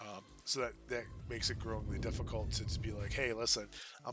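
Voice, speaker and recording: This man has a medium-pitched voice with vocal fry and a bright, sharp tone, and he talks at a fairly quick pace. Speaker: gaming streamer. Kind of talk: casual gameplay commentary. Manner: halting, many fillers. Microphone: no dedicated microphone, poor quality.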